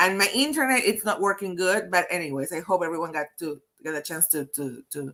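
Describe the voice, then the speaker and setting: At a fairly quick pace, a woman talks in a fairly low voice. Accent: Peruvian. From Peru. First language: Spanish. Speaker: HR consultant, webinar host. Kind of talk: live webinar interview. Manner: halting, many repetitions.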